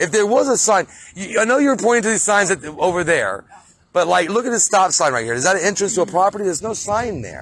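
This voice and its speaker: A man races along at a very fast pace. His pitch is high and his intonation lively. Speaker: citizen auditor filming a towing dispute. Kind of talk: heated argument. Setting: outdoors in a parking lot at night. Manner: stuttering; fast, interrupting.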